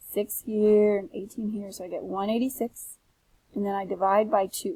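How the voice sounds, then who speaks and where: Somewhat breathy and dark, mellow in tone, a woman talks at a fairly quick pace and a medium pitch. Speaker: teacher. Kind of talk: tutorial. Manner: fast.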